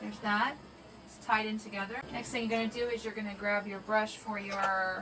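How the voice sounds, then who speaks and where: A woman talks at a fairly high pitch and a fairly quick pace, with monotone, flat intonation. Noticeable background noise runs underneath. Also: big swings in loudness. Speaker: makeup artist and beauty vlogger. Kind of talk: makeup tutorial talk to camera.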